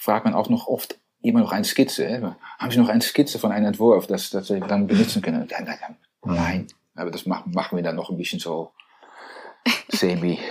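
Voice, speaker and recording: A man talks at a fairly slow pace. Long pauses come often. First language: Dutch (speaking German). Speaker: architect, co-founder of an architecture firm. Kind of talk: interview. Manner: halting, many fillers and repetitions.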